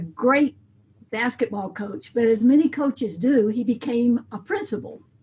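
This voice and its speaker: A woman with an American accent in a normal speaking voice, fairly high in pitch, with lively intonation at a moderate pace. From US South, coastal Mississippi. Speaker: band director and music educator. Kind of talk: interview.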